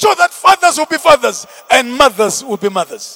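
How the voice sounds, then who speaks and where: In a raised, projected voice, a man speaks at an extremely high pitch, his tone animated and his pitch swinging very widely. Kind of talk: sermon; fiery preaching with call-and-response, prayer and blessing. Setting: church with congregation. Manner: animated, forceful and rhythmic, driving each point home with repetition; commanding and exhorting, urging the crowd to respond.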